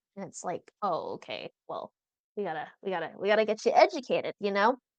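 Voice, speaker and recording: With an American accent, a woman speaks with big swings in loudness in a dry, close sound with no echo. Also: fairly quick pace. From US Pacific Northwest, Seattle area. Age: 20s. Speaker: singer-songwriter. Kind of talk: interview.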